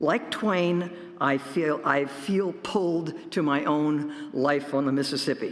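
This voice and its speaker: Ordinary pitch variation comes through noticeable background noise and audible room echo. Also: man. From US Midwest, northwest Illinois farm area. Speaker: professor giving a talk. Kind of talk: sermon-style talk at a worship service.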